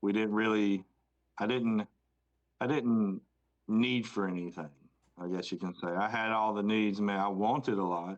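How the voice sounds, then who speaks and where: This man talks in a Southern US accent at a fairly low pitch and a moderate pace. His intonation stays fairly even, broken by long, frequent pauses. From US South, Rock Hill, South Carolina. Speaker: podcast co-host. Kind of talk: casual chat.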